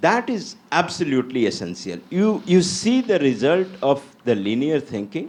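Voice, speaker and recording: A man with a fairly high pitch and vocal fry speaks at a moderate pace, his pitch swinging very widely. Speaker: university leader on an education panel. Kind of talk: panel discussion. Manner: animated.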